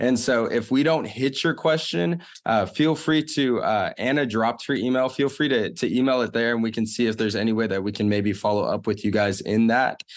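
A man with an ordinary speaking voice talks at a fairly quick pace with hardly any pauses, his medium pitch showing ordinary variation and his loudness very even against a quiet background. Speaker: ministry staff member. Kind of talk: Q and A moderating and prayer. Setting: video call.

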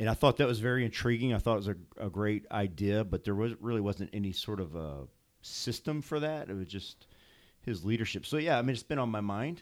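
Using a plain, everyday voice with an American accent, a man speaks fairly quickly in a fairly low pitch with lively intonation on a very clean recording with a silent background. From St. Louis, Missouri. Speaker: pastor. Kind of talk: casual chat.

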